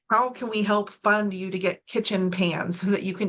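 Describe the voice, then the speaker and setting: A woman uses a normal speaking voice at a medium pitch, her intonation fairly even and her pace moderate. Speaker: suicide prevention trainer. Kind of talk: training presentation.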